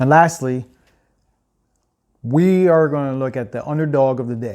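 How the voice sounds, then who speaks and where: Speaking at a moderate pace, a man has a fairly high pitch and a dark, mellow tone. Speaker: sports betting show host. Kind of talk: casual sports picks monologue. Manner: monotone.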